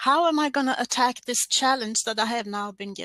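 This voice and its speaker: Using a raised, projected voice with a Swedish accent, a woman speaks at a high pitch and a moderate pace, her tone bright and sharp, her pitch variation ordinary, and the sound dry and close with no echo. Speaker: podcaster. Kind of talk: scripted presentation. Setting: online stream.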